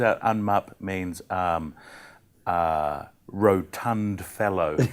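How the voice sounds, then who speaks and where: A man with a New Zealand accent and ordinary pitch variation. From New Zealand, central North Island. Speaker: comedian. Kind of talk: casual chat. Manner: halting.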